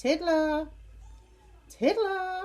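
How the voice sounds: A woman uses a put-on character voice at an extremely high pitch. She speaks at a very slow pace with a slightly mellow tone. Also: ordinary pitch variation.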